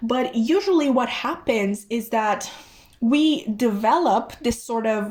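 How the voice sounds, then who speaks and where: A woman speaks with a Romanian accent. Her intonation is lively. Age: 20s. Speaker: tarot reader. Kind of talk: tarot reading. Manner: casual, with fillers and restarts.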